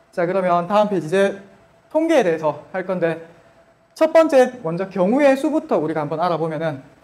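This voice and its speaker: A man's voice at a moderate pace with very wide pitch swings. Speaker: math teacher. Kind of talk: lecture. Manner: casual informal speech.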